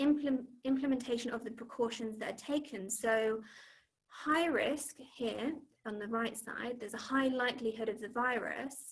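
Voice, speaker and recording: Her pitch fairly high, a woman speaks at a fairly slow pace with fairly even intonation. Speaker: cognitive behavioural therapist. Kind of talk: online talk with slides. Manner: hesitant, many fillers.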